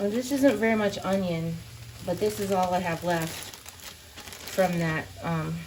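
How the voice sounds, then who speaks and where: With lively intonation and a medium pitch, a woman speaks fairly slowly with long, frequent pauses over noticeable background noise. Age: 50s. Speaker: housewife. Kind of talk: casual talk to camera.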